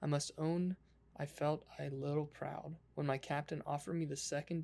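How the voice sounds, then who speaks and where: A soft-spoken voice talks at a moderate pace. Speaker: ASMR creator. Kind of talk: ASMR book reading.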